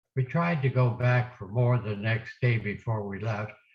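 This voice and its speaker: Against a quiet background, a man speaks at a medium pitch in a somewhat breathy voice. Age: 80s+. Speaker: war veteran. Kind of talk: oral history talk to students.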